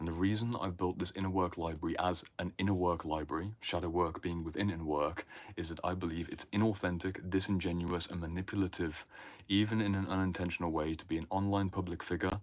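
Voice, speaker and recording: A man's very deep, low voice in a British accent at a fairly quick pace, on a very clean recording with a silent background. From Britain. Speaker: inner work mentor. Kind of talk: livestream talk. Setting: livestream in home library. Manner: animated.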